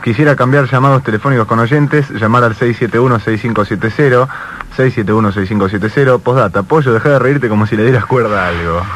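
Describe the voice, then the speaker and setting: Speaking at a moderate pace with ordinary pitch variation, a man comes through dry with no echo over light background noise. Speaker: radio host. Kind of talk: radio interview. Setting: studio. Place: studio.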